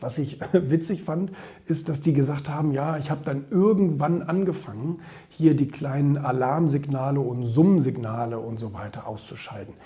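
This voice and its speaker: Using ordinary pitch variation, a man speaks at a moderate pace in a fairly high pitch. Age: 30s. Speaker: entrepreneur and social media commentator. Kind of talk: opinion monologue. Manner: hesitant with many fillers.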